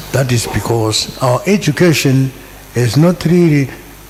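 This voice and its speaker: Over noticeable background noise, the speaker talks at a fairly slow pace with lively intonation. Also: man. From Zimbabwe. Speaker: university lecturer. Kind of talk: audience comment at book launch. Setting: hall with audience.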